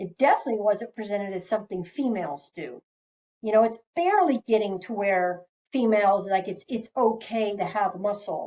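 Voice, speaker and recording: Speaking at a moderate pace, a woman has medium pitch and ordinary pitch variation. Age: 50s. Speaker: health educator. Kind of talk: webinar presentation. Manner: animated.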